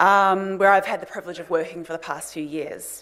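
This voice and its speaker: In a New Zealand accent, a woman talks at a fairly quick pace and a medium pitch. Audible room echo and noticeable background noise are present. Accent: New Zealand accent, noticeable to Australians. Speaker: lawyer and think tank director, conference speaker. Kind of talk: conference talk. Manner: formal.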